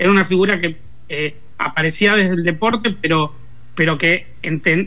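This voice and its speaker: A man's high-pitched voice at a moderate pace with fairly even intonation. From Argentina, Lanús (Buenos Aires province). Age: 40s. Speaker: pop culture commentator. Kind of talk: interview. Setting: remote call.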